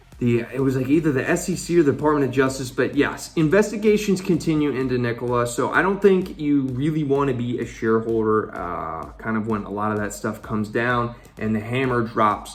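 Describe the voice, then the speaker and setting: A man's medium-pitched voice with lively intonation and hardly any pauses, amid audible room echo and noticeable background noise. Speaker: finance YouTuber. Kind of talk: casual vlog commentary. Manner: halting, stumbling over words; animated.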